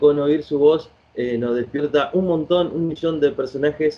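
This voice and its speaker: A man talks at a fairly high pitch with ordinary pitch variation. He has an unremarkable speaking voice. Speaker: radio host. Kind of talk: radio interview questions.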